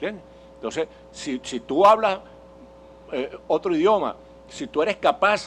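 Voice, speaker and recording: At a moderate pace, a man speaks with a Venezuelan accent. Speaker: political speaker and journalist. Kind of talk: public lecture. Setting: conference hall with audience. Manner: halting, with self-corrections.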